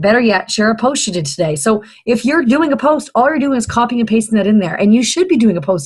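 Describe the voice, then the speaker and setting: At a very fast pace, a woman talks with very wide pitch swings. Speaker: fitness business coach. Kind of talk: training video for new coaches. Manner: hesitant, many fillers.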